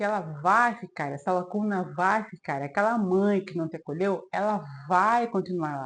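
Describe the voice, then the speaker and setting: An ordinary speaking voice from a woman, medium in pitch, with ordinary pitch variation at a moderate pace. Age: 40s. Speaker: self-help video creator. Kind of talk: advice monologue to camera.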